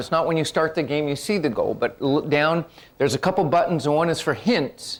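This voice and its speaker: Rattling along at a very fast pace, a man talks in an animated tone with a fairly high pitch. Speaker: workshop presenter. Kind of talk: workshop presentation.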